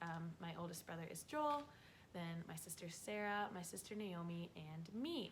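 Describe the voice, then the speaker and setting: Audible room echo surrounds a woman who talks at a moderate pace with an American accent. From North Dakota, Fargo. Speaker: vlogger. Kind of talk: casual chat.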